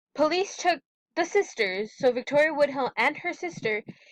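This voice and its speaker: With lively intonation and a moderate pace, a woman speaks in a dry, close sound with no echo. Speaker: student. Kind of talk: class presentation. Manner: stuttering; halting.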